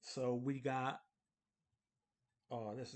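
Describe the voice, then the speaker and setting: Mumbling at a very slow pace. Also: man. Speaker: accounting instructor. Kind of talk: tutorial. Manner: halting.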